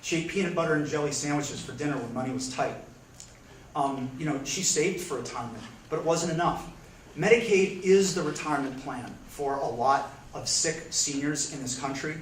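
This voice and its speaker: Over noticeable background noise and audible room echo, a man with an American accent speaks at a fairly quick pace with ordinary pitch variation. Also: fairly high pitch for a man. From US, Pennsylvania. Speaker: congressional candidate. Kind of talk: candidate forum answer. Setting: public library forum with audience.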